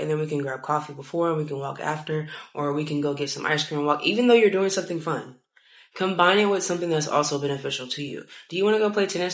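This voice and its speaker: In a room with audible echo, a woman with a fairly low voice talks very fast in an animated tone, with ordinary pitch variation. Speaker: lifestyle vlogger. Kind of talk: casual advice monologue.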